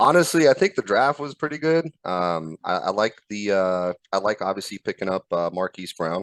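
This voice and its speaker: Speaking at a moderate pace with an Arizona accent, a man has a fairly low pitch and very wide pitch swings. The sound is dry and close with no echo, over a quiet background. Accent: American (Arizona). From Croatia, moved to Arizona as a child. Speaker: sports fan guest. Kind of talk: casual chat. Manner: halting, many fillers.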